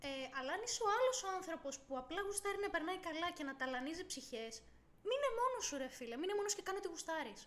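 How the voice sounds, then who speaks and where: Her pitch is extremely high and swings very widely. The woman talks at a very fast pace. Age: 20s. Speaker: podcast co-host. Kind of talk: casual chat.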